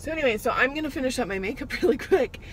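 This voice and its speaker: A woman speaks in a high voice over light background noise, the sound dry with no echo. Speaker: vlogger. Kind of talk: casual vlog chat. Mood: cheerful, slightly rushed. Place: car. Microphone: phone near.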